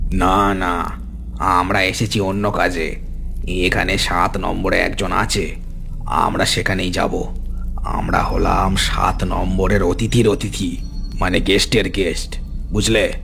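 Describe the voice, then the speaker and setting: A man speaks in a cartoonish character voice, very deep and low-pitched, at a fairly slow pace over loud background noise. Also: very even loudness. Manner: curt, commanding.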